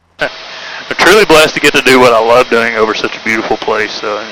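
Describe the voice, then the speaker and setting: Noticeable background noise sits behind a man with a Tennessee accent. He talks at a very fast pace with a medium pitch and fairly even intonation. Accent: Southern US (Tennessee). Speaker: helicopter tour pilot. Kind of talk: tour guide narration. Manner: casual, chatty.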